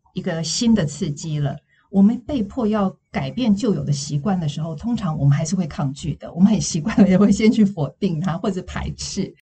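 Her voice is an unremarkable speaking voice, as a woman talks at a moderate pace with hardly any pauses, lively intonation and a fairly low pitch. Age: 60s. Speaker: counseling psychologist and former news anchor. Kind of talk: interview podcast.

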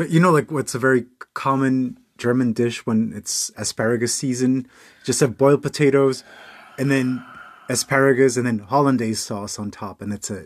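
This man has an unremarkable speaking voice and an American accent. His pitch is medium with ordinary variation, and his pace is moderate. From United States. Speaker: host's partner. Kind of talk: casual chat. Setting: home walk-in closet.

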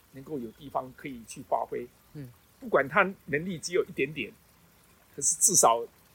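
A man with a fairly high voice speaks at a moderate pace, his pitch varying in an ordinary way, his loudness swinging widely, and his long pauses coming often. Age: 60s. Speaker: retired special education art teacher. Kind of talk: interview. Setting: outdoors. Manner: halting.

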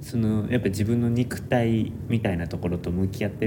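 Through audible room echo and noticeable background noise, a man of medium pitch speaks at a moderate pace with ordinary pitch variation. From Japan, Nara. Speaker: architecture student. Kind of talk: casual chat.

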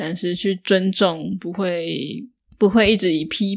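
Woman at a fairly slow pace on a very clean recording with a silent background. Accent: Taiwanese. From northern Taiwan. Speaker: podcast host, Mandarin teacher. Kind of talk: solo podcast monologue for learners.

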